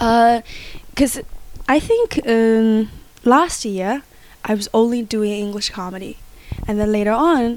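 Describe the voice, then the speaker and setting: Pausing long and often, a woman speaks at a fairly slow pace in a fairly high pitch. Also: ordinary pitch variation. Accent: Chinese. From Inner Mongolia, China. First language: Chinese. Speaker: comedian. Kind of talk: casual interview chat. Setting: recorded at home. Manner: animated, energetic.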